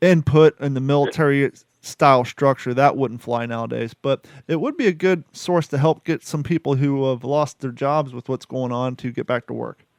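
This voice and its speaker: Here a man with a plain, everyday voice, fairly high in pitch, speaks at a moderate pace with fairly even intonation in a dry, close sound with no echo. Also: hardly any pauses. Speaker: podcast host. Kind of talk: casual chat.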